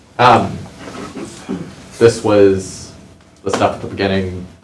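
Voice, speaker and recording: There is noticeable background noise as a man speaks. His fairly low pitch moves with fairly even intonation. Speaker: professor. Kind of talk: casual, self-deprecating. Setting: classroom lecture. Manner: monotone, droning.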